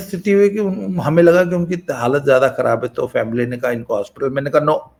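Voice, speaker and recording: A man talks at a high pitch, his voice making very wide pitch swings. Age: 60s. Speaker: YouTube talk channel host. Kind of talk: casual monologue.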